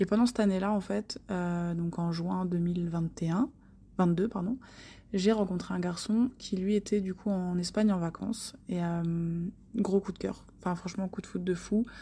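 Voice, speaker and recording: At a fairly slow pace, a woman speaks in a medium-pitched, dark and mellow voice that is somewhat breathy, with fairly even intonation. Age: 20s. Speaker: listener sharing travel story. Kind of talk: recorded voice message testimony.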